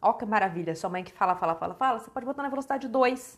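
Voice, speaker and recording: A woman's animated tone with lively intonation against a quiet background. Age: 30s. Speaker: author. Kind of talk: casual chat. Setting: livestream.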